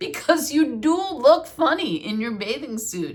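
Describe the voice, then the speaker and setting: Someone uses a put-on character voice with a high pitch, speaking at a fairly slow pace. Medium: read story.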